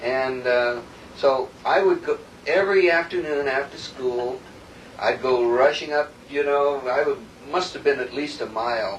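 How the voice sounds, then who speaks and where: Noticeable background noise sits under speech at a fairly slow pace with ordinary pitch variation. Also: man, fairly high pitch for a man. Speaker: gospel singer. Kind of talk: casual chat.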